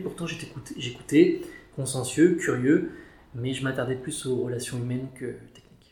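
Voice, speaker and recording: A somewhat breathy man talks at a moderate pace with audible room echo. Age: 30s. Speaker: chartered accountant. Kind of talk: interview. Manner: hesitant, many fillers.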